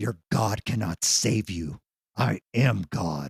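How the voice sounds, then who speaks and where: A man does a put-on character voice that is guttural and growling, with a very deep, low pitch and a very slow pace. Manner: mocking, menacing.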